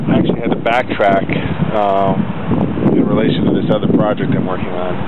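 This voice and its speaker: A man's voice comes through over loud background noise. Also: dry sound with no echo. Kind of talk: casual vlog chat. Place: street. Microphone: phone near.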